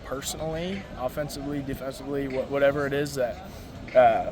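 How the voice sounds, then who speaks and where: A man speaks at a moderate pace. Noticeable background noise and audible room echo come through. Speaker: college baseball player. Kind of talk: post-game interview. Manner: frequent stuttering repetitions.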